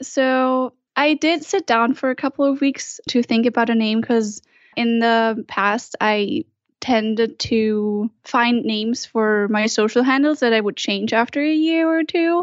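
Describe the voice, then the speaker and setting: A woman's high voice, fairly slow, with very even loudness and ordinary pitch variation. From Germany. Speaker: vegan food blogger. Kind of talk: casual interview.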